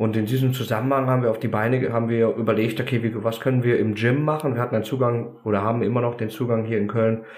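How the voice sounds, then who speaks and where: A man talks at a fairly quick pace in a monotone, flat delivery, with audible room echo around him. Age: 30s. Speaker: American football coach. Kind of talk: podcast interview. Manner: carrying, audible across a field.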